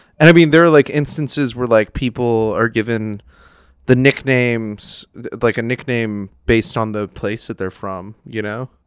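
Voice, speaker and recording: A man speaks at a moderate pace in an ordinary speaking voice, his medium pitch carrying ordinary pitch variation while his loudness swings widely, all in a dry, close recording with no echo and a very clean, silent background. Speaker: comedian. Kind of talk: casual chat.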